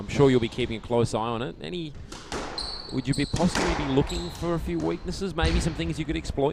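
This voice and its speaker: A man with an Australian accent talks at a very fast pace in a medium pitch, his voice swinging very widely up and down over noticeable background noise. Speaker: squash commentator. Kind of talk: interview.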